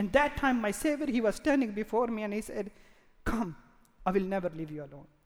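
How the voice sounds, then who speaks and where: Long pauses come often in this clip. The talking between them is very fast. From Pakistan. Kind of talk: testimony. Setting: stage with audience. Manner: halting.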